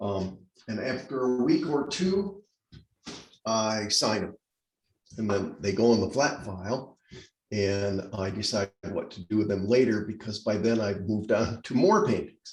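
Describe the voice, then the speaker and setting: A man talks at a fairly slow pace with long, frequent pauses, his voice somewhat breathy. His pitch is fairly low, with ordinary variation. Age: 70s. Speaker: painter. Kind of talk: casual chat. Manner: halting.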